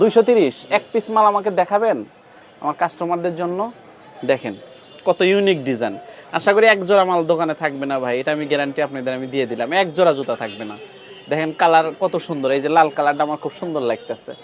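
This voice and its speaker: With crowd noise in the background, a man talks at a fairly high pitch using lively intonation. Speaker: shoe wholesale vlogger. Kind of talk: casual market vlog with shopkeeper. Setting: shoe shop in a trade center.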